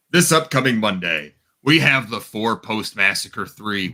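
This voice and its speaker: A man uses a put-on character voice at a medium pitch. His pace is moderate. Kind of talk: showy, announcer style. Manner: hyped-up, theatrical.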